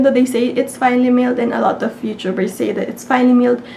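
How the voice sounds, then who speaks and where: There is noticeable background noise as a woman speaks at a high pitch. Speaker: beauty YouTuber. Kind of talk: casual talk to camera.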